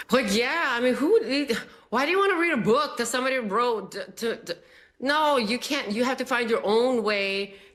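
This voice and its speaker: Speaking with a Spanish accent, a woman lets her pitch swing very widely. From immigrant, arrived age twelve. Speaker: TV contributor. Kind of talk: TV panel discussion.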